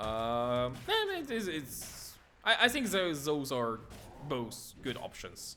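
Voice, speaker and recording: The voice has a bright, sharp tone and a non-native accent, moving at a very slow pace with very wide pitch swings. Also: man. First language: not English. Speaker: esports commentator. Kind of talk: live commentary. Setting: live stream. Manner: halting, many repetitions.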